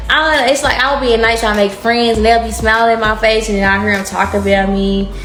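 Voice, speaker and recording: With a Texas accent, a woman talks very fast in a fairly high pitch with an animated tone and very even loudness, over noticeable background noise and audible room echo. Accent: Southern US, Texas. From Texas, Dallas. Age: 20s. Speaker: tarot reader. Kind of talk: casual tarot reading monologue.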